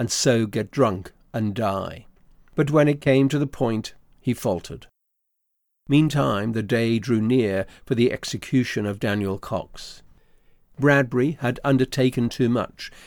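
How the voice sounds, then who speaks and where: A man speaks with a medium pitch and ordinary pitch variation. His is a plain, everyday voice. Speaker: narrator. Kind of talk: literary audiobook narration. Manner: measured, formal, steady storytelling pace.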